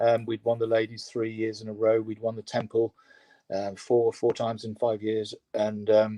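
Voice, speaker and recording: A man speaks with an English accent at a medium pitch. His pace is moderate and his intonation monotone and flat. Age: 60s. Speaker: rowing coach. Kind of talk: interview. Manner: halting.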